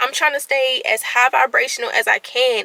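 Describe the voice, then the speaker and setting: A woman raises and projects her high voice in an animated tone at a moderate pace. The sound is dry and close with no echo, her tone bright and sharp. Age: 20s. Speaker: vlogger. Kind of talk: casual vlog monologue. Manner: stuttering at times.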